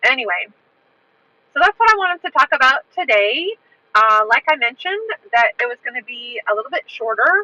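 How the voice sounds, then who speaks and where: A woman speaks fairly quickly in a raised, projected voice, high in pitch with a bright, sharp tone and very wide pitch swings. Long, frequent pauses break up her speech, and the sound is dry and close with no echo. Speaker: livestream host and English teacher. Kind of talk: casual livestream talk. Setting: outdoors walking in a park. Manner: clear.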